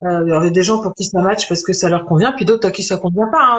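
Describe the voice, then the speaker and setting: At a very fast pace, a woman speaks with medium pitch and ordinary pitch variation. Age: 40s. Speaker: holistic medicine practitioner-teacher. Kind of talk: interview, personal story. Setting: live stream video call. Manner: hesitant, many fillers.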